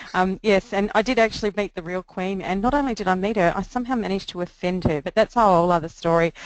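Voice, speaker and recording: A woman speaks at a very fast pace with medium pitch and fairly even intonation. The sound is dry and close with no echo, over a quiet background. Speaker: social media marketing educator. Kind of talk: webinar presentation. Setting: online webinar.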